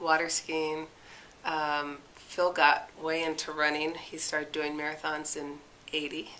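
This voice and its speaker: The voice has a bright, sharp tone and a monotone, flat intonation, moving at a fairly slow pace. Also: woman, very deep, low pitch for a woman. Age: 60s. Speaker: amateur athlete. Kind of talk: interview. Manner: casual, hesitant with fillers.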